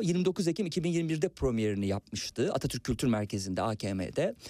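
His tone dark and mellow, a man speaks fairly slowly with very wide pitch swings, in a dry, close sound with no echo. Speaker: radio host. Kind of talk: casual chat.

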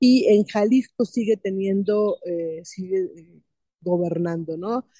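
A woman's tone is dark and mellow. The recording is dry and close, without any echo. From Mexico. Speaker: political analyst. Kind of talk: interview.

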